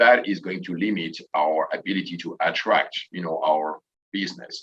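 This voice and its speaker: A man in a French accent talks at a moderate pace. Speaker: tourism association president and hotel manager. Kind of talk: panel discussion.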